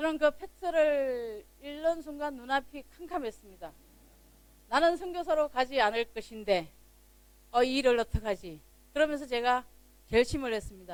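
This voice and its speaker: Moderate pacing broken by long, frequent pauses. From Gyeongsang region, South Korea. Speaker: missionary pastor. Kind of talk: sermon.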